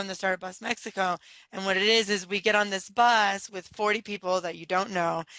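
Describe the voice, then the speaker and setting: A woman with a Californian accent at a very fast pace, monotone and flat, against a quiet background. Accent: Californian American. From San Diego, California. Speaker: entrepreneur. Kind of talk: interview.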